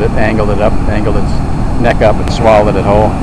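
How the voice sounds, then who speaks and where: Very fast speech comes through a dry sound with no echo over loud background noise. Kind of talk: casual commentary. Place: waterside. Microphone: phone near.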